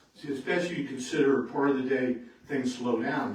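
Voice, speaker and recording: Speaking at a medium pitch and fairly quick pace, a man is heard with noticeable background noise and audible room echo. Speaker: retired air traffic controller giving a talk. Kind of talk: public talk to local society. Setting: meeting room with audience. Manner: loud.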